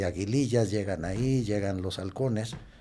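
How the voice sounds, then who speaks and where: With audible room echo, a man speaks at a fairly slow pace in a dark, mellow tone, his pitch fairly low and its variation ordinary. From Mexico, Nayarit coast (San Blas). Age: 60s. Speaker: activist. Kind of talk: interview conversation. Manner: hesitant, many fillers and repetitions.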